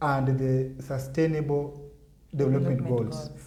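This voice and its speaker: A man's fairly high voice comes across somewhat breathy with a dark, mellow tone. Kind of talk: interview answer.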